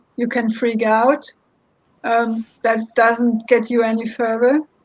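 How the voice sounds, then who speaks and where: A woman speaks with a German accent, her voice pitched fairly high. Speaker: lawyer. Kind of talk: roundtable discussion. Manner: halting.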